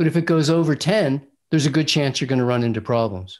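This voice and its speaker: In a very clean recording with a silent background, a man speaks at a fairly quick pace. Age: 60s. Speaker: raw food diet author and doctor. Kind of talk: interview. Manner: assertive.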